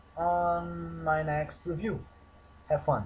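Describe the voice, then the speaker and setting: A man speaks with a Portuguese accent. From Portugal. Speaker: gaming YouTuber. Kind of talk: game review with commentary. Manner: animated.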